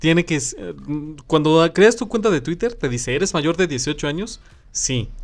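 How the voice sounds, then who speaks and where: With music in the background, a man with a Mexican accent speaks at a fairly slow pace and high pitch, with lively intonation and long, frequent pauses. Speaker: podcast co-host. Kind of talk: casual chat. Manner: animated.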